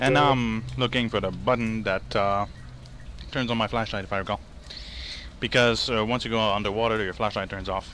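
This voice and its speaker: A man with a Quebec accent speaks at a fairly quick pace and a medium pitch, his intonation fairly even, broken by long, frequent pauses. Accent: French Canadian accent in English. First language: French. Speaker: gaming video creator. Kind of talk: gameplay commentary. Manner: halting.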